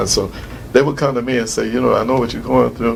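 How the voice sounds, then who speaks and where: A man's voice amid noticeable background noise. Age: 60s. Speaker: retired prison imam. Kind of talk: interview. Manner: halting, many fillers.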